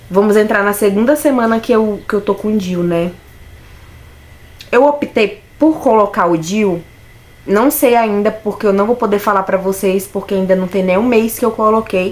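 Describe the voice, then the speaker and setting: Noticeable background noise sits behind a woman speaking at medium pitch. Her pace is moderate, and her pitch varies in an ordinary way. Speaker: vlogger. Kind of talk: personal vlog.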